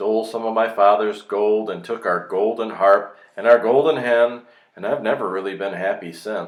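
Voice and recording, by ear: The intonation stays fairly even while reading aloud in a natural voice.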